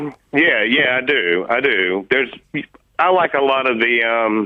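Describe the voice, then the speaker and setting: A man speaks with a Southern US accent at a fairly slow pace. His pitch sits in the medium range. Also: ordinary pitch variation. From US South, Nashville, Tennessee. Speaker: caller, radio quiz contestant. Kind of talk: phone-in chat. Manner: halting.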